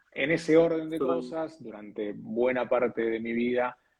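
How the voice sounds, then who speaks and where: In an Argentine accent, a man speaks at a medium pitch. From Argentina. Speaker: TV weather presenter and announcer. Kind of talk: interview answer.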